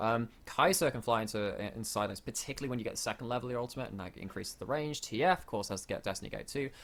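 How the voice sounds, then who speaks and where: A man with a British accent talks at a very fast pace with hardly any pauses, at a medium pitch with ordinary variation, on a very clean recording with a silent background. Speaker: esports caster. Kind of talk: live commentary.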